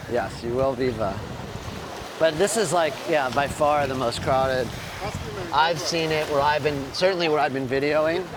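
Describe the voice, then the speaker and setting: A man with a fairly high voice at a moderate pace, with ordinary pitch variation, long and frequent pauses, audible room echo and noticeable background noise. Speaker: travel vlogger. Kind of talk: casual chat. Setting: outdoors.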